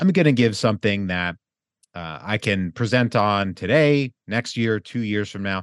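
With an unremarkable speaking voice, a man talks in a fairly low pitch, the sound dry and close with no echo against a quiet background. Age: 30s. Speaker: real estate investor. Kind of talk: interview.

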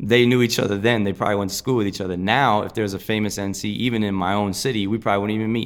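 With hardly any pauses, a man races along at a very fast pace in an American accent, his fairly low pitch held in monotone, flat intonation. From New Jersey. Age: 30s. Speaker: breakdancer and artist. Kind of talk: casual interview. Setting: basement studio.

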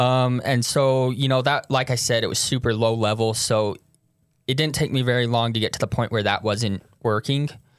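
A man speaks in a normal speaking voice at medium pitch. His intonation is fairly even and his pace moderate. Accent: American. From Utah. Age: 20s. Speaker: person in addiction recovery. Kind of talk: personal testimony interview.

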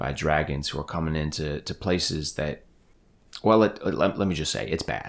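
This man speaks at a moderate pace in a very deep, low voice with ordinary pitch variation. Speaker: game master running a tabletop RPG. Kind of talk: tabletop roleplaying game session, casual and animated.

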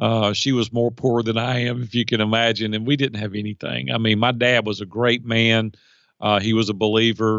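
A man's medium-pitched voice with a Middle Tennessee accent, monotone and flat, at a fairly quick pace. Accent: US Southern (Middle Tennessee). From Nashville, Tennessee. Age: 50s. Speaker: life and business coach. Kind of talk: interview conversation.

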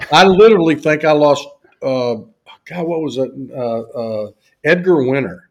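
Fairly high-pitched, a man with a Southern US accent speaks at a fairly slow pace with lively intonation and long, frequent pauses. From US South. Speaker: university faculty member and business executive. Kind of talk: casual interview chat.

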